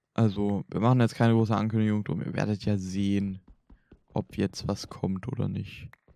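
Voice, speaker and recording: A man with a fairly low pitch and a dark, mellow tone speaks at a moderate pace. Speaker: gaming YouTuber. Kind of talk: casual chat. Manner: animated.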